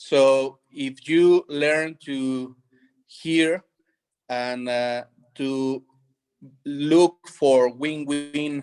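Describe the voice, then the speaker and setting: Music plays behind a man with a fairly high pitch and fairly even intonation. His voice sounds dry and close, with no echo. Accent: Spanish. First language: Spanish. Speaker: conference presenter. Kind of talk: panel discussion. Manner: halting.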